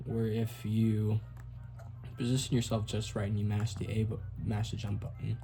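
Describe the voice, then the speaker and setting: Over music in the background and with audible room echo, a man talks in a fairly low pitch with monotone, flat intonation and long, frequent pauses. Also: moderate pace. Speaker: speedrunner. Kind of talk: tutorial. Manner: casual.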